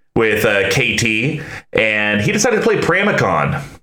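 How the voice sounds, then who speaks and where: Background noise is noticeable throughout. Over it, a man talks. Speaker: podcast host. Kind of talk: casual chat. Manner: pitch rises when unsure.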